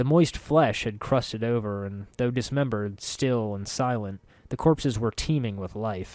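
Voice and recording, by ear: Pitch varies in an ordinary way as the speaker is reading aloud in a natural voice.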